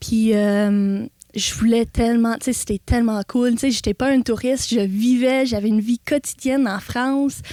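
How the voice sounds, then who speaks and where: Speaking at a moderate pace with fairly even intonation, a woman with an English Canadian accent has a fairly high pitch and a dark, mellow tone, captured in a dry, close, echo-free recording that is very clean with a silent background. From Ontario, Canada. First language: English (speaking French). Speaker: animal sanctuary owner. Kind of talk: interview.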